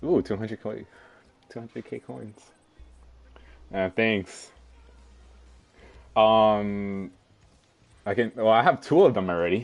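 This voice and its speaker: Ordinary pitch variation, long and frequent pauses, and music in the background. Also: man, fairly low pitch for a man. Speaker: gaming streamer. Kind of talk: live game streaming with excited reactions. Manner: excited, exclaiming.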